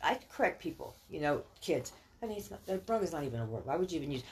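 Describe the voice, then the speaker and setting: In an American accent, a woman talks at a very fast pace. Her fairly low voice swings very widely in pitch. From California, raised by Texan parents. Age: 60s. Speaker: podcast guest, parent of a former guest. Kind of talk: casual chat.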